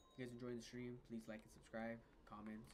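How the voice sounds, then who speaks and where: Over music in the background, a man talks at a very fast pace in a medium pitch. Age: 20s. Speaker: gaming streamer. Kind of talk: casual gaming livestream chat. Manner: casual, rambling with fillers.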